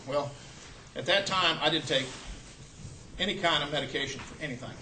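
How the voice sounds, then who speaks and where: Room echo is audible as a man speaks at a very fast pace. His pitch is fairly high, with ordinary variation. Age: 60s. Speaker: health product distributor giving a talk. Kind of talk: testimony. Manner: casual, halting.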